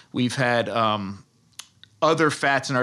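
A man with an American accent speaks at a medium pitch in a bright, sharp tone, on a very clean recording with a silent background. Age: 40s. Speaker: food researcher and author. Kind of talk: interview.

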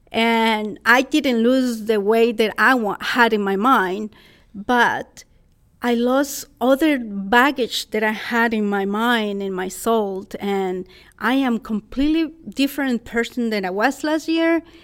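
A woman with a Costa Rican accent speaks at a very slow pace, her pitch varying in an ordinary way. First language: Spanish. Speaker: public speaker. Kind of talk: interview.

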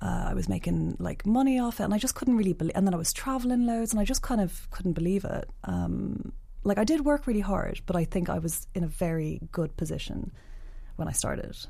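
A woman's dark, mellow tone at a fairly quick pace. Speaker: photographer and blogger. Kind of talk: casual chat. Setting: studio. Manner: soft-spoken.

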